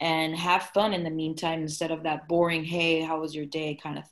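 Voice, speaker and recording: A woman with an American accent and a normal speaking voice, fairly low in pitch, at a moderate pace. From United States, raised from infancy. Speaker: podcast co-host. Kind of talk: casual chat.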